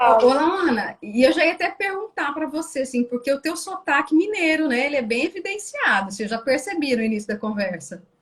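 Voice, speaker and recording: At a fairly quick pace with hardly any pauses, a woman speaks in a high pitch with very wide pitch swings. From Brazil, Rondônia (Pimenta Bueno). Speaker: interviewer. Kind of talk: interview.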